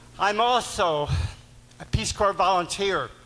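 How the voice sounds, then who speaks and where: A man speaks in a high voice. Background noise is noticeable. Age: 70s. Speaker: war veteran asking questions. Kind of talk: town hall Q&A. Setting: town hall meeting with audience.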